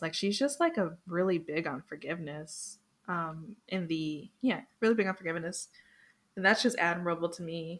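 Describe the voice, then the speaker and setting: A woman with a plain, everyday voice speaks at a fairly low pitch and moderate pace with ordinary pitch variation, in a very clean recording with a silent background. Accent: American. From Florida, US. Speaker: podcast guest, anime fan. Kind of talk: casual chat.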